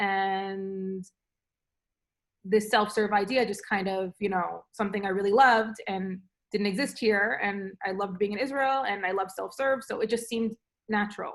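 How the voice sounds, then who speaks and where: A woman with a New York accent talks at a medium pitch and moderate pace with fairly even intonation, on a very clean recording with a silent background. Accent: New York American English. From New York, USA. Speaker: food entrepreneur, frozen yoghurt shop owner. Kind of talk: interview answer.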